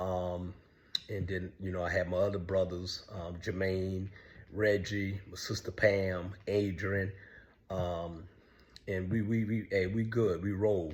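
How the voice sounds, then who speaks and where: Very deep and low in pitch, a man speaks at a very slow pace in a monotone, flat intonation, sounding somewhat breathy. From US South, Savannah, Georgia. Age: 60s. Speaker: online show host telling his life story. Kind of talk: personal monologue. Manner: halting with frequent fillers.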